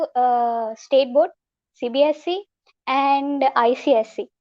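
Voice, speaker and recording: A woman speaks at a high pitch. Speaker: college student. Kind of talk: short impromptu speech. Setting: video call.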